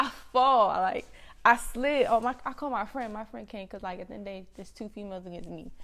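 In a very clean recording with a silent background, a woman speaks at a very fast pace. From Washington DC area (DMV, Prince George's County). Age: 20s. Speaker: podcast co-host. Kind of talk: casual chat.

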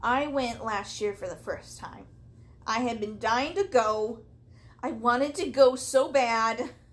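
The voice shows ordinary pitch variation and big swings in loudness. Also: woman, high pitch for a woman. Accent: American. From US Midwest (southern Missouri). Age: 30s. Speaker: podcast host. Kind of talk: casual chat. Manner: animated.

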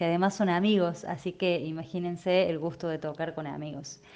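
Against a quiet background, a woman speaks in a normal speaking voice, fairly low-pitched, with ordinary pitch variation. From Córdoba, Argentina. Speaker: singer-songwriter. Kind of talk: interview testimony.

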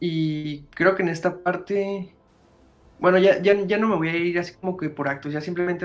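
A man with a Mexican accent, high pitch and fairly even intonation, over noticeable background noise. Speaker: podcast host. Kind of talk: casual chat. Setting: live stream.

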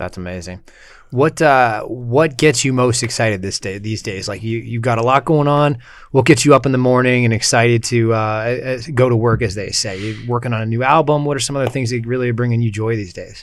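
A man's medium-pitched, normal speaking voice at a fairly quick pace, with ordinary pitch variation. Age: 20s. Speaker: podcast host. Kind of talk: casual chat.

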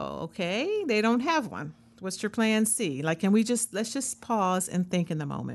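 Her voice shows vocal fry as the woman talks at a moderate pace with lively intonation. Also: medium pitch for a woman. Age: 50s. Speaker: wellness podcast host. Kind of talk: solo podcast monologue. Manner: conversational with fillers.

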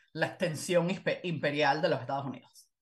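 Behind this woman, the background stays quiet. Her voice is somewhat breathy. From Venezuela. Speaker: historian and author. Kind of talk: interview.

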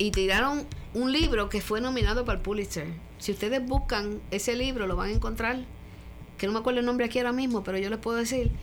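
A woman with a fairly high voice speaks very fast but leaves long, frequent pauses, her pitch varying in an ordinary way amid audible room echo. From Puerto Rico (Caguas), raised abroad mostly in Europe with military father. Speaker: retired politician and doctor. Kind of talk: interview, life story.

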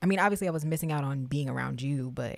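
The recording is very clean with a silent background. The speaker talks with an American accent. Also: woman. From Texas, Fort Worth. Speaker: podcast co-host. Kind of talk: casual chat. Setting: studio. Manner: animated.

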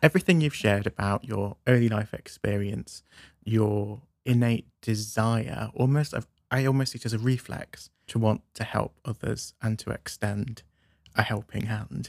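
A man speaks in a plain, everyday voice at a medium pitch and moderate pace. The sound is dry and close with no echo, and the pitch varies in an ordinary way. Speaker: podcast host. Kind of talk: interview.

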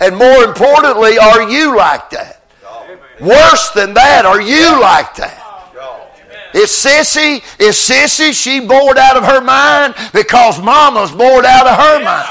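The speaker uses a raised, projected voice with lively intonation at a fairly slow pace. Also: man, extremely high pitch for a man. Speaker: visiting revival preacher. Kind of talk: sermon. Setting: church.

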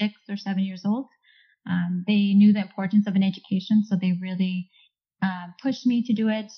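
At a moderate pace, a woman with an American accent speaks at medium pitch with fairly even intonation over music in the background. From Orange County, California. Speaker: engineer. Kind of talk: casual interview chat.

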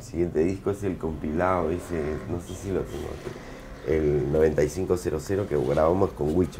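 Through noticeable background noise, a man talks fairly slowly in a very deep, low pitch with fairly even intonation. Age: 40s. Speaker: punk band singer. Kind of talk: casual interview.

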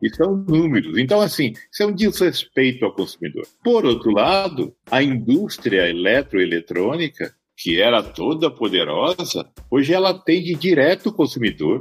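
Fairly high male speech at a moderate pace, with vocal fry, very wide pitch swings, very even loudness and hardly any pauses. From Brazil, Mato Grosso do Sul (Campo Grande). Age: 50s. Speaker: company founder and CEO. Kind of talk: interview.

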